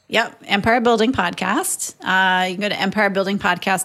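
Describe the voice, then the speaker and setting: A woman with an Upper Midwest accent speaks at medium pitch in a bright, sharp tone. Her pace is moderate, and the recording is very clean with a silent background. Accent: Upper Midwest American. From northern Minnesota (Moorhead). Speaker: real estate investor and agent. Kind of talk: casual interview.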